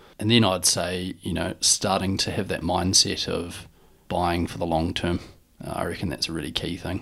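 A man with a New Zealand accent speaks in a very deep, low voice on a very clean recording with a silent background. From New Zealand, Dunedin. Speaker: retail business co-founder. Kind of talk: interview.

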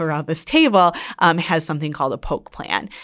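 A woman with very deep, low pitch at a moderate pace, on a very clean recording with a silent background. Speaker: nurse practitioner host. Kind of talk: expert interview.

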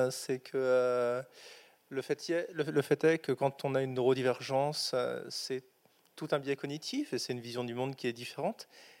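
A man talks at a moderate pace in a normal speaking voice, with a medium pitch and fairly even intonation. His loudness swings widely. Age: 30s. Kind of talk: panel testimony.

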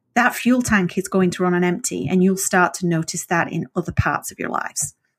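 A woman speaks at medium pitch with ordinary pitch variation and a somewhat breathy voice. The recording is very clean, with a silent background and a dry, close sound with no echo. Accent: northern English. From northern England. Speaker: author. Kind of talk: casual interview chat.

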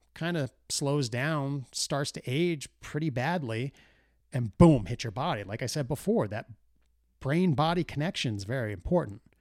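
The very clean recording has a silent background. A man with an unremarkable speaking voice, fairly high in pitch, talks at a moderate pace with lively intonation. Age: 40s. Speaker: solo podcast host. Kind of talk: casual monologue. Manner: casual, filler-heavy.

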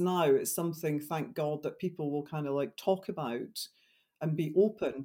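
Speaking with a Scottish accent, a woman has a very deep, low pitch and fairly even intonation, captured on a very clean recording with a silent background. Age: 50s. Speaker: wildlife photographer and writer. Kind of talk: interview, personal story.

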